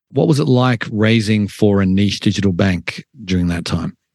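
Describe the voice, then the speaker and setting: An unremarkable speaking voice from a man with an American accent, fairly low in pitch with ordinary pitch variation, at a moderate pace, in a dry, close sound with no echo. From outside the US. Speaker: podcast host. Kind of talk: interview.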